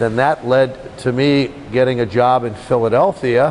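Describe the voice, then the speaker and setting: A man talks at a fairly slow pace while noticeable background noise runs underneath. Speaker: radio play-by-play commentator. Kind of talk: casual interview answer, storytelling about his career.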